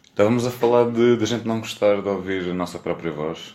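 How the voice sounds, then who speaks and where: Very fast pace from a man, with noticeable background noise. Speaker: podcast host. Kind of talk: casual chat.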